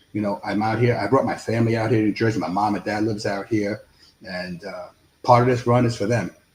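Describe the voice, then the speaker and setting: A man with a New York accent talks at a very fast pace in a fairly low, somewhat breathy voice. His intonation stays fairly even. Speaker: congressional candidate. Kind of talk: interview.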